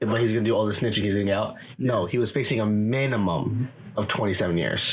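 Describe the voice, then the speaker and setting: Over noticeable background noise, a man with a fairly low pitch talks very fast. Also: ordinary pitch variation, very even loudness. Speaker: podcast guest. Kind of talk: casual chat.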